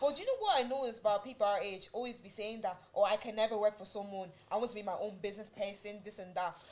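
Very fast speech from a woman with fairly high pitch and hardly any pauses, big swings in loudness, over noticeable background noise. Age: 20s. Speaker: podcast host. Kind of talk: casual chat. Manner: animated.

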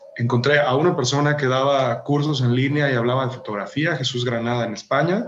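Speaking at a moderate pace and a medium pitch, a man keeps a fairly even intonation in a recording with noticeable background noise and audible room echo. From Mexico, Jalisco (small town). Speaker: architect and architectural photographer. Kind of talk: interview.

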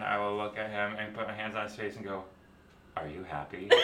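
Over noticeable background noise, a man talks very fast in a fairly low, monotone voice with flat intonation. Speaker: hairdresser and aerialist. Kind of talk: casual chat, storytelling.

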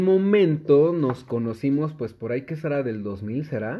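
Speaking very slowly, a man holds a medium pitch and varies it in an ordinary way. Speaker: podcast host. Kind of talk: casual chat.

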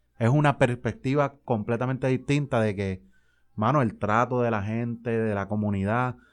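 Against a quiet background, a man with an unremarkable speaking voice talks at a medium pitch and moderate pace with fairly even intonation. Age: 20s. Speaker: community sports league organizer. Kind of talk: interview.

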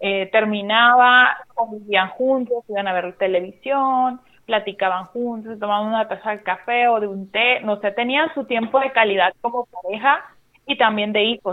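A woman's voice sits fairly high in pitch. She uses ordinary pitch variation. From Mexico, Sinaloa. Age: 30s. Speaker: church worship musician and podcaster. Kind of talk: casual chat. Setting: phone call.

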